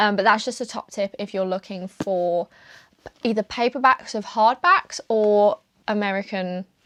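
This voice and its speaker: Her intonation fairly even, a woman talks in a medium pitch. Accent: British. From UK. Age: 20s. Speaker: book content creator. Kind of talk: casual chat. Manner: casual, filler-heavy.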